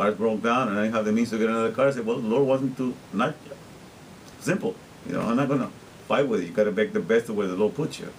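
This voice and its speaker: Talking at a very fast pace, a man with a Spanish accent has a medium pitch and ordinary pitch variation. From Guatemala. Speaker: interpreter and vlogger. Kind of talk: casual video diary monologue. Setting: self-recorded on camera.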